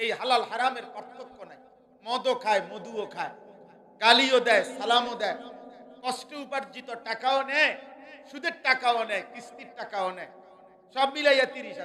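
A man speaks in an extremely high pitch. His raised, projected voice carries audible room echo. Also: ordinary pitch variation. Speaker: Islamic preacher. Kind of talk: sermon. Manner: animated.

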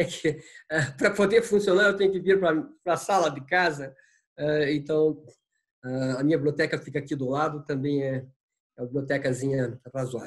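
Somewhat breathy and fairly high-pitched, a man speaks with long, frequent pauses. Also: ordinary pitch variation, moderate pace, quiet background. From Paraná, Brazil. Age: 70s. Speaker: art curator and professor. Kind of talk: interview. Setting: video call from home. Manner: halting, many fillers. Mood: calm, friendly, reflective. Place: home room. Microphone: video call.

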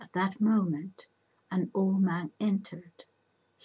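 Fairly even intonation in a natural reading voice

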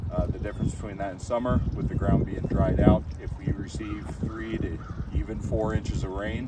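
Heard over loud background noise, a man talks at a moderate pace with dry sound and no echo. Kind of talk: tutorial. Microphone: camera far.

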